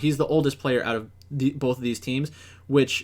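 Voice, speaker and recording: A man's medium-pitched voice at a fairly quick pace with ordinary pitch variation, very clean recording and silent background. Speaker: esports analyst. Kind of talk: solo commentary video. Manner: authoritative; halting, many fillers.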